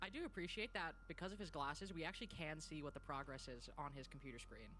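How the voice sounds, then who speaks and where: Very fast speech over music in the background. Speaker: esports caster. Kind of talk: casual chat during tech delay.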